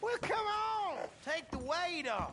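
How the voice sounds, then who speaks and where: A drawling, put-on character voice at an extremely high pitch, with clear background noise. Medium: video game. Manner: folksy drawling.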